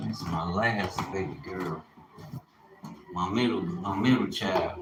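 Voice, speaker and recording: Amid noticeable background noise and audible room echo, a man with a very deep, low voice speaks very slowly, his intonation lively. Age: 50s. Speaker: livestreamer. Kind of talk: casual livestream monologue. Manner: animated.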